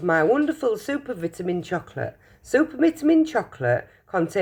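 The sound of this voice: Here is a reading voice. It sounds unforced.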